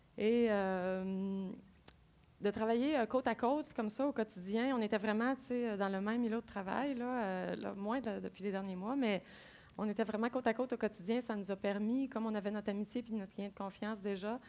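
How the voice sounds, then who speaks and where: Moderate in pace, this is a plain, everyday voice. Its intonation stays fairly even, and the recording is very clean against a silent background. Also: woman, fairly high pitch for a woman. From Quebec City. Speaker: agile coach. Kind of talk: conference talk. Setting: stage with audience.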